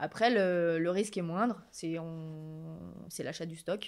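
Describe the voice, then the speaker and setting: Against a quiet background, a woman with a fairly low pitch talks at a very slow pace. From France, Rhône-Alpes (Villefontaine, Annemasse); Rhône-Alpes. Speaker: shop owner, entrepreneur; guest. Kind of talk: interview. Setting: in her shop. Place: shop. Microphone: studio mic.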